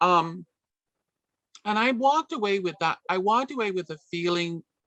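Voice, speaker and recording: A woman with a New York accent, medium pitch, lively intonation and a moderate pace, in a dry, close sound with no echo. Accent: New York American. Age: 60s. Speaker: community organization director. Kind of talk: radio interview.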